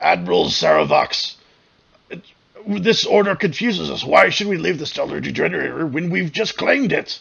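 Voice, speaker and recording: A put-on character voice at a moderate pace. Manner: confused, uncertain.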